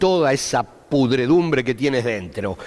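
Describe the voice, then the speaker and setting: This is a man speaking. His pace is fairly slow. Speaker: Bible teacher. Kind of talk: Bible study lecture.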